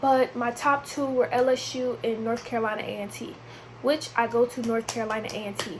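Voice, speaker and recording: Amid noticeable background noise, a woman with a high pitch speaks with fairly even intonation. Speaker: vlogger. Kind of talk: casual chat. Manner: casual, chatty.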